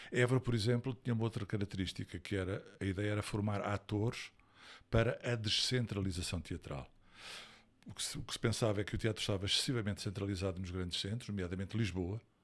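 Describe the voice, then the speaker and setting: A man talks at a very fast pace, fairly low in pitch and somewhat breathy, with ordinary pitch variation. The recording is very clean, with a silent background. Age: 60s. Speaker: actor and stage director. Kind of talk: interview.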